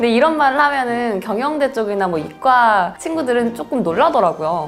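Music plays behind a woman whose fairly high voice makes very wide pitch swings at a moderate pace. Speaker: voice actor. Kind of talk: interview answer.

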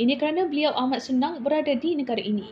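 A woman is talking. She keeps her intonation fairly even. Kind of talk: news report narration.

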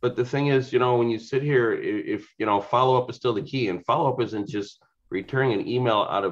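The background stays quiet as a man talks fairly fast. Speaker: real estate agent. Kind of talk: group discussion. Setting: video call. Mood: amused, lively storytelling. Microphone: video call.

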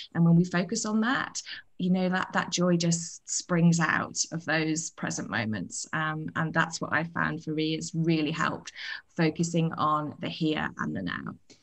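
A woman with a British accent, fairly low in pitch, at a fairly slow pace. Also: ordinary pitch variation, quiet background. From UK. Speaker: author. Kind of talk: interview. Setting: video call. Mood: warm, reflective. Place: home room. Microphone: video call.

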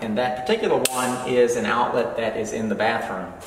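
A man talks at a moderate pace. There is light background noise and audible room echo. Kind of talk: tutorial. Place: home room. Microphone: camera far.

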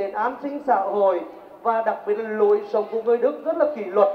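Fairly slow speech with audible room echo. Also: man. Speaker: company representative and alumnus speaker. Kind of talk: seminar talk to students. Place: stage. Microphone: pa.

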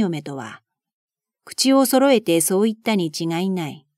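A woman talks in a normal speaking voice at a moderate pace. Her intonation is lively, and the sound is dry and close with no echo. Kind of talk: audiobook reading of a classic novel. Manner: calm, soothing.

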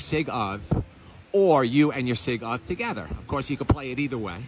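A man talks at a moderate pace in a dry sound with no echo, with noticeable background noise. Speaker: travel vlogger. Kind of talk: casual vlog tour commentary. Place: hall. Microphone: phone near.

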